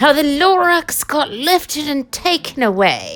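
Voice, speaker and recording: A woman performs a put-on character voice with a high pitch. She speaks at a fairly slow pace. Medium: read story.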